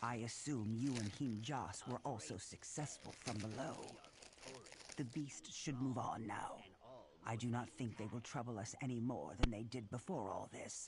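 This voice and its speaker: Putting on a character voice, a man talks at a moderate pace and medium pitch over clear background noise. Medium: video game. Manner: formal, measured.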